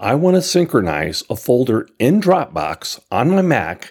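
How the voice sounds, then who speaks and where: Vocal fry marks a man's fairly slow speech on a very clean recording with a silent background. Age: old. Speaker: listener contributor, tech reviewer. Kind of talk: recorded review.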